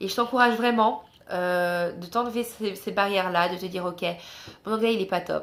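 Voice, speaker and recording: A woman at medium pitch speaks at a fairly slow pace with ordinary pitch variation. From France. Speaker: travel vlogger. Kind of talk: casual vlog talk. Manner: hesitant with many fillers.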